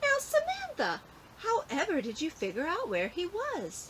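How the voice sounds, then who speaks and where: Putting on a squeaky character voice, a woman speaks at a moderate pace in an extremely high pitch with very wide pitch swings, over clear background noise. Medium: read story. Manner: polite, gentle, teacherly.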